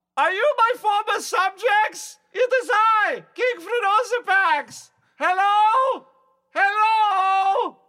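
A put-on character voice drawls at a very slow pace with an extremely high pitch. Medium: actual play. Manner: grandiose, exclamatory.

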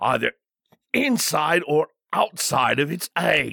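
A man puts on a character voice at a fairly high pitch. He speaks at a very slow pace, in a dry, close sound with no echo. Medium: read story. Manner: formal, deferential.

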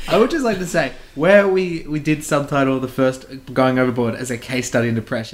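With a normal speaking voice, a man talks at a fairly quick pace and medium pitch. His intonation is lively. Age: 20s. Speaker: podcast co-host. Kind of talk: casual chat.

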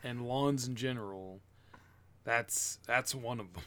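A man's ordinary speaking voice at a medium pitch, fairly slow, with ordinary pitch variation, on a very clean recording with a silent background. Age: 20s. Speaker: podcast co-host. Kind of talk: casual chat.

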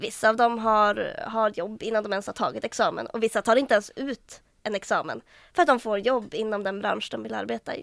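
Delivered at a fairly quick pace, the speech has a Norrland accent and is a very clean recording with a silent background. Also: woman. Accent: northern Swedish (Norrland). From Västernorrland, northern Sweden (Härnösand). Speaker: student union vice chair. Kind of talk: casual chat.

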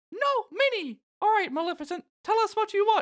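A female-sounding, put-on character voice at an extremely high pitch and a fairly quick pace. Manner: exclaiming, playful.

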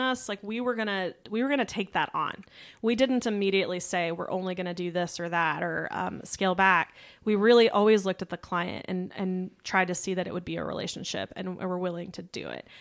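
A woman talks fairly quickly with hardly any pauses, at a medium pitch with ordinary pitch variation, an unremarkable speaking voice in a very clean recording with a silent background. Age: 30s. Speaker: branding agency co-founder. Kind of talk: casual interview.

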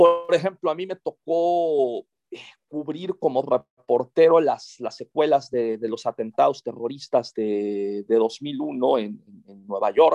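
Speaking at a very slow pace, a man uses a fairly high pitch, a dark, mellow tone and lively intonation. His loudness swings widely, and the sound is dry and close with no echo. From Monterrey, northern Mexico. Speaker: novelist and journalist. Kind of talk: interview. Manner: halting, repeats words.

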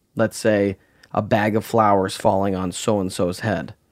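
A man speaks in a normal speaking voice at a fairly low pitch, with ordinary pitch variation. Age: 30s. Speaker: set dresser. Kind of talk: interview.

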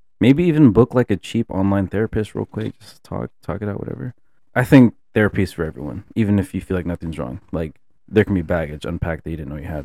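A man with a very deep, low pitch talks at a very fast pace, his voice swinging very widely in pitch. The tone is dark and mellow with vocal fry, and the sound is dry and close with no echo. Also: big swings in loudness, very clean recording, silent background. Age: 20s. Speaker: photographer and student. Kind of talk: casual chat. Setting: studio.

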